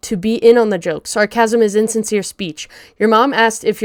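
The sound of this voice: This is an unforced reading voice. The words are read aloud in it throughout.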